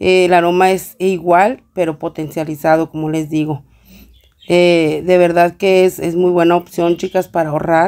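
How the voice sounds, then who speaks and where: A woman's fairly low, dark, mellow voice, monotone and flat, at a fairly slow pace. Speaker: home cleaning vlogger. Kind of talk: tutorial. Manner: casual, with many fillers.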